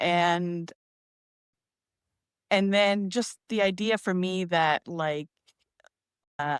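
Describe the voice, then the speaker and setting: Speaking very slowly with long, frequent pauses, a woman of medium pitch keeps her intonation fairly even, the sound dry and close with no echo. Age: 50s. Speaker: poet and memoir writer. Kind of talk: casual livestream chat.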